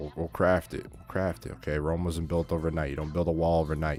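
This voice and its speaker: Over background music, a man with a very deep, low pitch talks at a fairly quick pace. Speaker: trading educator. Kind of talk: lecture. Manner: fast; animated.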